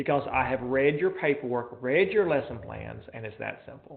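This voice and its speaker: Room echo is audible as a man speaks. His intonation is lively. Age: 40s. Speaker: college professor. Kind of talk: lecture. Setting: classroom, live streamed and recorded. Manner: fast; mumbling.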